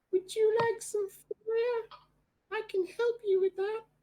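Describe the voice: A put-on character voice squeaks at an extremely high pitch. Its intonation stays monotone and flat. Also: fairly slow pace.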